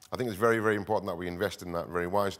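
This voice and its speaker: A man with a northern English accent speaks with vocal fry. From northern England. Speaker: counter-extremism expert. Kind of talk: conference talk. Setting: stage with audience.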